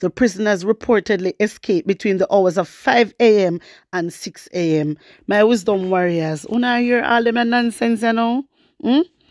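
With a Jamaican accent, a woman speaks at a moderate pace in a fairly high, animated voice with ordinary pitch variation, her sound dry and close with no echo on a very clean recording with a silent background. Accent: Jamaican Patois-inflected English. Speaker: YouTube news commentator. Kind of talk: casual news commentary vlog.

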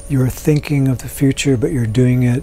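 Soft-spoken, a man talks in a calm, gentle tone with fairly even intonation. The sound is dry with no echo. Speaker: meditation teacher. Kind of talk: guided meditation. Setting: live online meeting. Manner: calm, gentle and unhurried, with soft instructions and long pauses; soothing, inviting. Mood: calm, slow, soothing. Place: home room.

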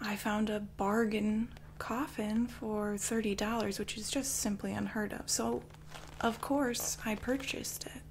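Against noticeable background noise, a woman talks very slowly at a fairly high pitch in a monotone, flat intonation. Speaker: ASMR performer playing a murderess. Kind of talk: ASMR true crime monologue in character, bedtime ghost story style. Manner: hushed, slow, eerie and sinister, dramatic pauses.

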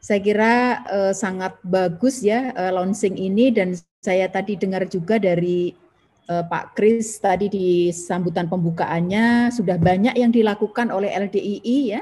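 At a fairly slow pace, a woman speaks at a medium pitch, her tone dark, mellow and somewhat breathy. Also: ordinary pitch variation. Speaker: government environmental official, webinar speaker; webinar speaker. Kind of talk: webinar presentation. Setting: video call from home. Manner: frequent fillers (ya, uh). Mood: friendly, smiling. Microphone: video call.

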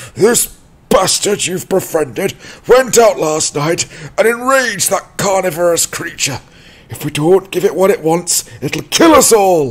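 A shouting man, high-pitched, with lively intonation. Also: moderate pace. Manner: surly, hostile, shouting.

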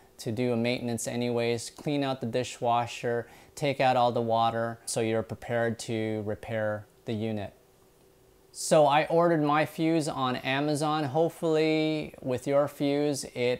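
A man talks at a fairly slow pace with ordinary pitch variation. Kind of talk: tutorial. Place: kitchen. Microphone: lapel.

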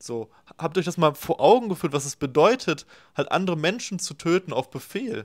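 A man's high-pitched voice with lively intonation at a moderate pace, against a quiet background. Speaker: left-wing YouTube commentator. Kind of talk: reaction video commentary. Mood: critical, opinionated. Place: home room. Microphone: webcam.

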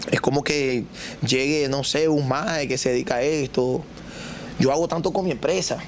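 With noticeable background noise behind him, a man talks at a moderate pace, his fairly high pitch showing ordinary variation. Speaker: comedian and content creator. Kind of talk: casual chat. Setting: studio with live audience.

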